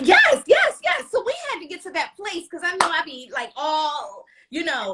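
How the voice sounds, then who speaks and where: A woman uses a raised, projected voice at an extremely high pitch, bright and sharp in tone, with very wide pitch swings. She sounds animated, keeps a moderate pace, and shows big swings in loudness. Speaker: talk show host. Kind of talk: casual chat.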